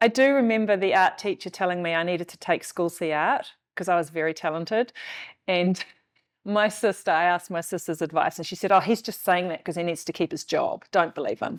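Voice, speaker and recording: With a New Zealand accent, a woman talks at a fairly quick pace in a medium pitch, her loudness swinging widely while her pitch varies in an ordinary way. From New Zealand (arrived from the Netherlands aged five). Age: 50s. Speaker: artist. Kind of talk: interview.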